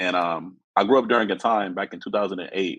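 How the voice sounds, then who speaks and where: An unremarkable speaking voice with ordinary pitch variation talks in an American accent. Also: man. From Los Angeles area, California. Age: 30s. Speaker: guest sharing personal story. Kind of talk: testimony.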